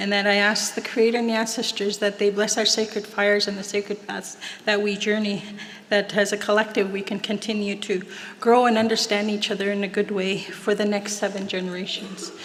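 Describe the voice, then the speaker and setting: In a western Canadian accent, a woman speaks at a medium pitch and a fairly quick pace with monotone, flat intonation. Noticeable background noise and audible room echo fill the recording. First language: Plains Cree. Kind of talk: ceremonial invocation and prayer. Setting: stage at graduation ceremony with audience.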